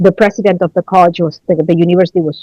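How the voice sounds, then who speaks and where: A woman with a Spanish accent at a very fast pace, in a dry, close sound with no echo. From Chile. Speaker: college research director. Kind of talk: podcast interview. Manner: hesitant, many fillers.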